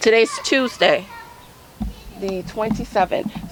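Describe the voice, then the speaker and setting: Over music in the background, a woman speaks very slowly with lively intonation. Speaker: home gardening vlogger. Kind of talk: casual vlog walkthrough. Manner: loud; halting with many fillers.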